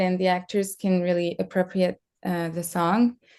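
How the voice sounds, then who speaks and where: A woman speaks in a French accent. Her pace is moderate. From France. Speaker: screenwriter and director. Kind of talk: interview. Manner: halting.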